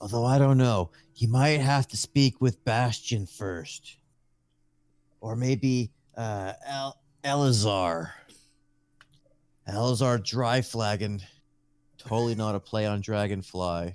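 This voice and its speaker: A man puts on a character voice at a medium pitch, speaking at a fairly slow pace with long, frequent pauses and ordinary pitch variation, on a very clean recording with a silent background. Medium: actual play. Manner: eager, manic, fixated on fire.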